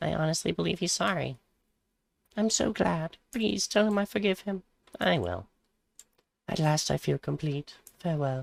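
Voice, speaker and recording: Using a put-on character voice at a fairly high pitch, a man speaks at a moderate pace with long, frequent pauses. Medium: game stream.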